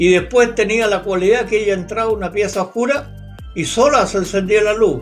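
A man with a Chilean accent talks at a fairly quick pace with hardly any pauses, his pitch high for a man. Faint music plays in the background. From Concepción, Chile. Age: 80s+. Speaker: UFO researcher, retired police officer. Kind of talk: interview answer. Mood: calm, storytelling. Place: home room. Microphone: video call.

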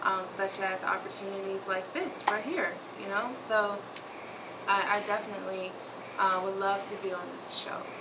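A woman speaks at a moderate pace, and noticeable background noise is present. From Memphis, Tennessee. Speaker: aspiring model. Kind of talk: audition tape talk to camera. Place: home room. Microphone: camera far.

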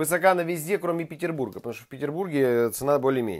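Male speech in a quiet setting, pitch varying in an ordinary way. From Siberia, Krasnoyarsk. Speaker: chef, cooking video host. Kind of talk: cooking tutorial. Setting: home kitchen. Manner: casual, chatty. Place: kitchen.

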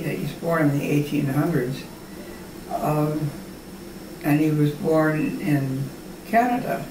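A woman with a very deep, low voice amid noticeable background noise. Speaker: grandmother telling family history. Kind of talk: oral history interview answer. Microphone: camera far.

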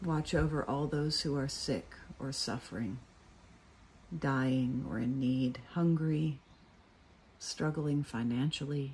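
A woman speaks at a very slow pace with long, frequent pauses, her pitch very deep and low. The tone is warm and somewhat breathy, the intonation fairly even. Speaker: cathedral dean giving a morning devotional. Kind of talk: fervent spoken prayer, earnest and pleading, addressed to God. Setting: outdoors at a friend's house in the morning. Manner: earnest, warm and heartfelt, unhurried; pastoral, reflective, conversational in the reflection.

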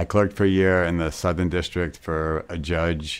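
A man speaks at an extremely low pitch. There is little pitch movement.

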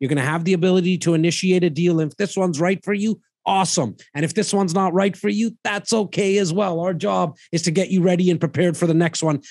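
Over a quiet background, a man with a high pitch speaks at a very fast pace, with ordinary pitch variation and a dry sound with no echo. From Canada. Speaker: real estate investment advisor. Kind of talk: casual chat. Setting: livestream with viewer comments. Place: studio. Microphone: studio mic.

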